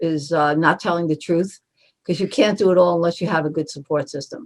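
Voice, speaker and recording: A woman speaks with a Brooklyn accent. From Brooklyn, New York. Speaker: marketing agency co-founder. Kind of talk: interview.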